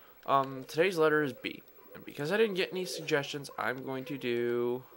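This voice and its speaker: Over noticeable background noise, the speech moves at a fairly quick pace. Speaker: gaming video creator. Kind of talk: gameplay commentary. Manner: soft-spoken; casual, hesitant with ums.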